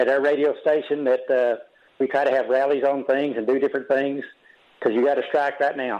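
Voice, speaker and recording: In a normal speaking voice, a man talks with fairly high pitch and fairly even intonation. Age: 60s. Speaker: radio caller. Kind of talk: casual call-in conversation.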